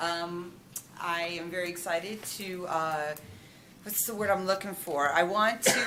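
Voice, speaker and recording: Audible room echo surrounds a woman speaking at a moderate pace in a fairly low voice with ordinary pitch variation. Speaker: teacher. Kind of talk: self-introduction. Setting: school board meeting room. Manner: loud.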